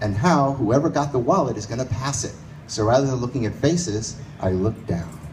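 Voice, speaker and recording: A man with an American accent speaks at a fairly quick pace in a medium pitch, his intonation lively. Room echo is audible. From US Northeast, New York City. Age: 60s. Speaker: storyteller. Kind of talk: live storytelling. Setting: stage with audience in a bar.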